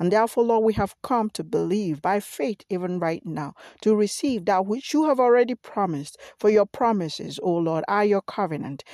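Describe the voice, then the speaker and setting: In a quiet setting, a woman speaks at a moderate pace with a dark, mellow tone, medium pitch and lively intonation, the sound dry and close with no echo. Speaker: pastor. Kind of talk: fervent prayer, repetitive and rhythmic, pleading and declaring. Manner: earnest; emphatic, repeating phrases for emphasis.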